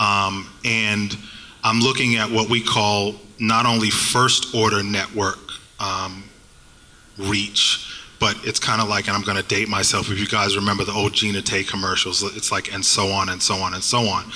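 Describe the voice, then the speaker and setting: A fairly low male voice with a slight Boston accent, flat and monotone, over noticeable background noise. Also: moderate pace. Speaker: digital marketing agency panelist. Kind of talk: panel discussion. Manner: halting.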